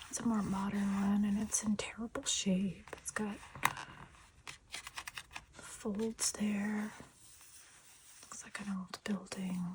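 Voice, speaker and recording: Soft-spoken and relaxed in tone, the voice moves at a very slow pace with long, frequent pauses over noticeable background noise. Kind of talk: ASMR soft-spoken show and tell, casual talk to camera. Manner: soft-spoken, quiet, relaxed.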